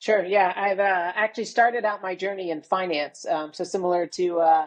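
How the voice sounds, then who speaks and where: The woman's pitch is fairly low and her intonation fairly even. She speaks with an American accent. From United States. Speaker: retail consultant and entrepreneur. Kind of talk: podcast interview.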